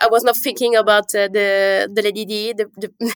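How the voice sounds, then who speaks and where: With a French accent, a woman speaks at a fairly slow pace in a fairly high pitch, her intonation fairly even and the sound dry and close with no echo. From Calabria and Paris. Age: young. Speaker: winemaker. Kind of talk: interview. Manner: halting.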